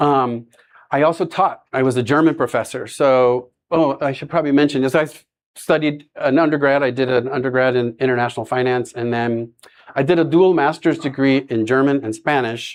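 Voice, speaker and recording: An unremarkable speaking voice from a man with an American accent, fairly high pitch, fairly even intonation and a fairly quick pace. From US, Florida. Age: 60s. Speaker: nonprofit executive director, former professor. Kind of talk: presentation talk. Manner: casual with fillers.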